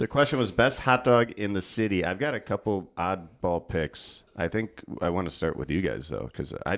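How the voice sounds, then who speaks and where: In a very clean recording with a silent background, a man with an American accent speaks in a very deep, low pitch with vocal fry, lively intonation and hardly any pauses. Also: moderate pace. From Chicago area, Evanston, Illinois. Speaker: podcast co-host. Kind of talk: casual chat.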